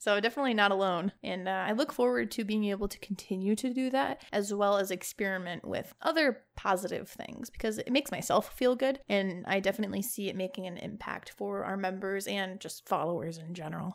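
With an American accent, a woman talks at a fairly quick pace with hardly any pauses, using a normal speaking voice at medium pitch and lively intonation. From Chicago, Illinois. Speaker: gaming podcast co-host and streamer. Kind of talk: casual chat.

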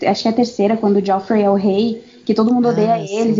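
In a slight southern Brazilian accent, a woman speaks with a fairly high pitch. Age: 20s. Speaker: podcast guest, international relations graduate. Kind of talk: casual chat.

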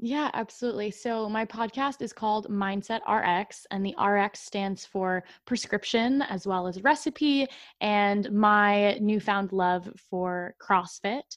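A woman with an American accent has a plain, everyday voice at medium pitch with ordinary pitch variation. She speaks at a fairly slow pace over a quiet background. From Massachusetts, US. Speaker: mindset coach. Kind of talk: casual interview.

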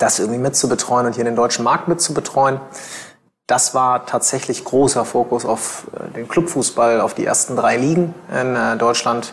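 Medium in pitch, a man's voice is heard. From Germany, Bielefeld (East Westphalia). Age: 30s. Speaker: lawyer and in-house counsel. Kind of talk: interview conversation. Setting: office of his employer. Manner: hesitant, many filler sounds.

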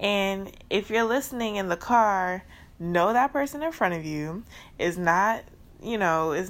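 On a very clean recording with a silent background, a woman with a New Orleans accent speaks at a fairly slow pace and a medium pitch, her tone animated and her intonation lively. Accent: New Orleans Southern US. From US South, New Orleans, Louisiana. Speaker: podcast host. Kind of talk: casual solo podcast monologue. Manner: animated, frequent laughter.

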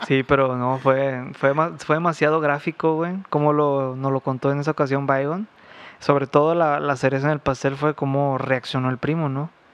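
A man's fairly high pitch with monotone, flat intonation at a moderate pace. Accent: Mexican. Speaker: podcast co-host. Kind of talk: storytelling. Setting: at home.

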